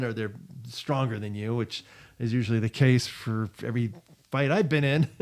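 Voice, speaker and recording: A man's speech has ordinary pitch variation and a moderate pace. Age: 60s. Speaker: former teacher, self-defense video host. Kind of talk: casual tutorial. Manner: hesitant, many fillers.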